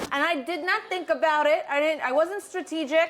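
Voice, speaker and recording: The voice is loud and animated, with noticeable background noise behind it. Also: woman. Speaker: home cooking content creator giving advice. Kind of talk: casual chat over a meal.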